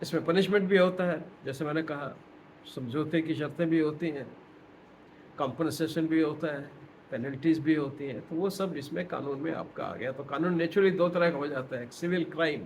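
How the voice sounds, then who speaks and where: Room echo is audible in this recording. A man speaks at a fairly high pitch. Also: moderate pace. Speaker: retired professor. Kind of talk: lecture. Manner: halting.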